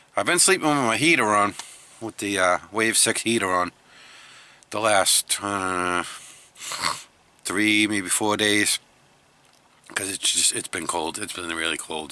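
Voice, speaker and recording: Through noticeable background noise, a man with a fairly low voice speaks at a fairly slow pace, leaving long, frequent pauses, his pitch varying in an ordinary way. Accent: American. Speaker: van-life vlogger. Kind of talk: casual vlog talk. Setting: outdoors in the cold.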